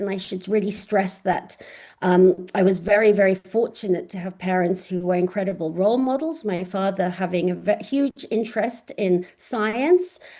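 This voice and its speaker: Her voice has a dark, mellow tone at a medium pitch for a woman, with ordinary pitch variation. She keeps a moderate pace with hardly any pauses. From southern England, Oxford. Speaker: astrophysicist professor. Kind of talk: online lecture. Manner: hesitant with frequent fillers.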